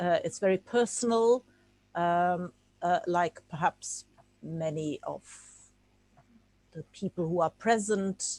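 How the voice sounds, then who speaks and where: A woman at a very slow pace, medium pitch and ordinary pitch variation, in a dry, close sound with no echo on a very clean recording with a silent background. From Czechoslovakia, then Germany. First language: Czech. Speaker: art historian giving a talk. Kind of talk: lecture. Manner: halting, with many fillers.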